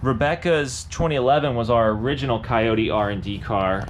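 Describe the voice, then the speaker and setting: An unremarkable speaking voice goes at a moderate pace with ordinary pitch variation. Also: man. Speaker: performance shop owner hosting live stream. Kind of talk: live stream update and Q&A. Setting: auto shop, live stream. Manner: casual, lots of fillers.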